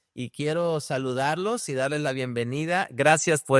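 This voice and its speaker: With a normal speaking voice and a fairly high pitch, a man talks at a moderate pace in a very clean recording with a silent background and a dry, close sound with no echo. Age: young. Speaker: podcast host. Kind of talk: casual chat.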